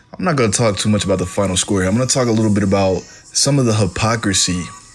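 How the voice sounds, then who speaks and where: Over music in the background, a man speaks in an animated tone at a fairly low pitch. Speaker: radio sports talk host. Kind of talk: sports talk radio show. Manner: opinionated, animated.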